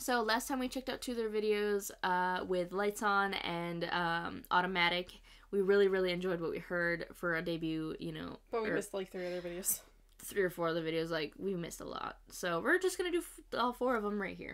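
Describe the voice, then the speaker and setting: A woman talks fairly quickly in a quiet setting, her pitch shifting in an ordinary way. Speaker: reaction channel host. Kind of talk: casual vlog chat. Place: home room.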